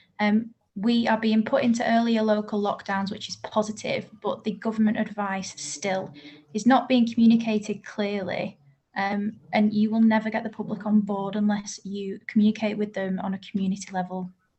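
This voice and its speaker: A woman with a fairly high, somewhat breathy voice keeps a moderate pace, her intonation monotone and flat. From Manchester, northern England. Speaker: bereaved relative giving evidence. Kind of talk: oral evidence to a parliamentary group. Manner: formal.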